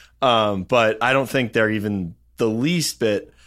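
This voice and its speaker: A man with an unremarkable speaking voice talks at a fairly low pitch and a moderate pace, with ordinary pitch variation. The recording is very clean, with a silent background. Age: young. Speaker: entrepreneur and podcast co-host. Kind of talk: casual chat.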